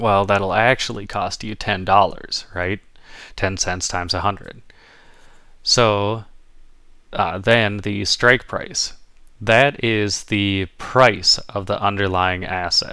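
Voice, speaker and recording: A man with an American accent speaks at a very slow pace and fairly low pitch, his tone bright and sharp, his intonation fairly even, with long, frequent pauses on a very clean recording with a silent background. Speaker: educational YouTuber. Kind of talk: tutorial. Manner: casual, hesitant with fillers.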